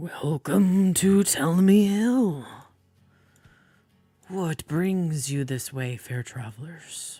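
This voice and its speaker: In a put-on character voice at middle pitch, the speaker goes at a very slow pace with long, frequent pauses. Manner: welcoming, slow.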